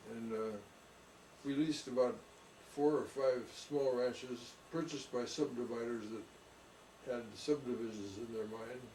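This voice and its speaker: Noticeable background noise and audible room echo around a man at medium pitch, fairly slow in pace, his intonation fairly even. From California, San Jose. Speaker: orchardist. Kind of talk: oral history interview.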